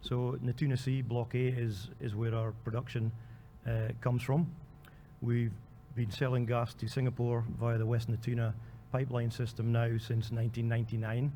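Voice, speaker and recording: Against audible room echo, a man with a Scottish accent speaks at a moderate pace in a dark, mellow, somewhat breathy tone, with very even loudness and monotone, flat intonation. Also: medium pitch for a man. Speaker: oil company country manager. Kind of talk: conference panel talk. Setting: convention hall panel. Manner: hesitant, many fillers.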